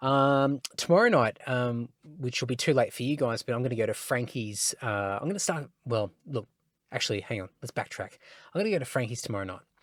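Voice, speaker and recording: This man talks at a fairly quick pace with lively intonation and an Australian accent. His pitch is medium, and the recording is very clean with a silent background. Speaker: podcast host. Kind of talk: casual solo podcast chat. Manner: slurring; hesitant, many fillers.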